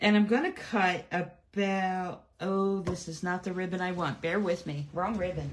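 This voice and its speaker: A woman speaks in a normal speaking voice at medium pitch. Her pace is fairly slow. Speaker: card-making demonstrator. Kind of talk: live craft tutorial. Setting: livestream. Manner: chatty, many fillers.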